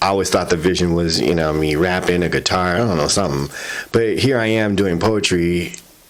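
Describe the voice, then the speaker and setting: A man with an American accent speaks at a moderate pace in a very deep, low voice with ordinary pitch variation over noticeable background noise. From Southern US. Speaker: spoken word poet. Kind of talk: interview answer.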